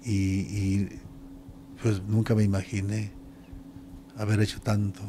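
Over light background noise, a man talks in a fairly low, somewhat breathy voice with a dark, mellow tone. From Mexico. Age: 60s. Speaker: retired pro wrestler; interviewee. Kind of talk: interview. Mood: reflective, warm. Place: home room. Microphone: handheld.

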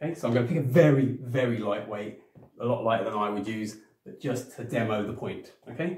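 At a fairly quick pace, a somewhat breathy man speaks with ordinary pitch variation, with audible room echo against a quiet background. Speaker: personal trainer. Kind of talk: tutorial. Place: home room. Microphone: camera far.

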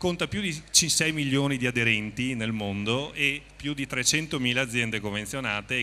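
Over light background noise, a man with a medium pitch and a bright, sharp tone talks at a moderate pace with ordinary pitch variation. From Veneto, northern Italy (Treviso); Veneto. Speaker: company representative. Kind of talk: on-stage interview / promotional talk. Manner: improvised, slightly halting. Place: stage. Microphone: handheld.

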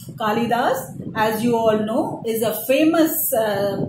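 Over noticeable background noise, a woman speaks in a fairly high pitch with lively intonation. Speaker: teacher. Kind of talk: lecture; poem reading aloud, slow and deliberate. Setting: online video lesson. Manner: formal, explanatory, didactic; measured, with fillers and repetition. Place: home room. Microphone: phone near.

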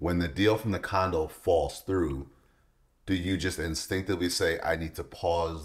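A man's very deep, low-pitched voice, somewhat breathy. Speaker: podcast co-host. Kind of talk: casual interview. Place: home room.

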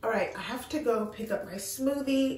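With audible room echo, a woman speaks at a moderate pace with ordinary pitch variation. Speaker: lifestyle vlogger. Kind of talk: casual vlog chat. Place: bathroom. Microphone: phone near.

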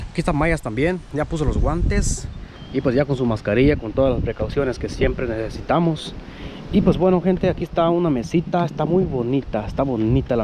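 The sound is dry with no echo, though noticeable background noise comes through. A man talks at a fairly quick pace. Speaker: vlog narrator. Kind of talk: casual vlog chat. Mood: cheerful, excited about find. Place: street. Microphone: phone near.

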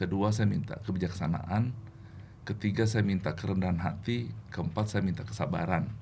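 Over light background noise, a man with a very deep, low pitch, a dark, mellow tone and vocal fry talks at a fairly quick pace, with very even loudness and ordinary pitch variation. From Indonesia, born in Makassar; Indonesia. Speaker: regional sales manager. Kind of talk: testimony. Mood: warm, reflective faith story. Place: studio. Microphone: studio mic.

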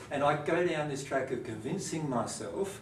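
The speech comes at a moderate pace. Light background noise and audible room echo are present. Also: man. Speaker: presenter. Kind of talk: lecture. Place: classroom. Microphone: camera far.

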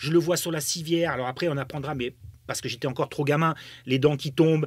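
A fairly high-voiced man, animated and fairly quick, against a quiet background. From Germany. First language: German (speaking French). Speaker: football pundit, former footballer; football pundit. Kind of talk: podcast interview. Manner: animated, many hesitations and repetitions. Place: studio. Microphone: studio mic.

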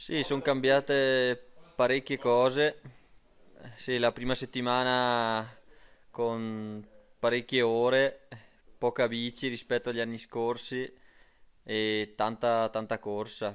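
Speaking at a very slow pace, a man keeps a monotone, flat intonation with long, frequent pauses. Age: 30s. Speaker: cross-country skier. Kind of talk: interview. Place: home room. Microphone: handheld.

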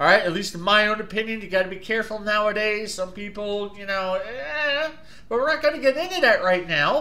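A man with a New Jersey accent speaks in a raised, projected voice. His pitch is high and his tone is bright and sharp. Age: 40s. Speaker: YouTube product reviewer. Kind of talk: casual video review. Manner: animated. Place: home room. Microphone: webcam.

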